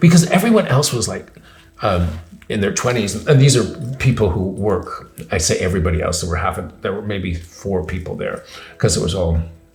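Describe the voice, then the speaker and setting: Over noticeable background noise, a man with a fairly low pitch speaks at a fairly quick pace with lively intonation. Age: 60s. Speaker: philosopher and teacher. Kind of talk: interview answer.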